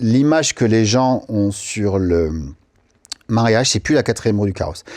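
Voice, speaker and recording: Speaking at a fairly slow pace, the man keeps a medium pitch, ordinary pitch variation and very even loudness. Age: 40s. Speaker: wedding photographer. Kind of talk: podcast interview. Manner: casual, animated.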